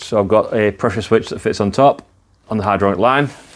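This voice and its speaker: A man talks with an English accent. His pitch sits fairly low. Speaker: motorcycle builder and video maker. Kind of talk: workshop vlog. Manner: casual, with fillers.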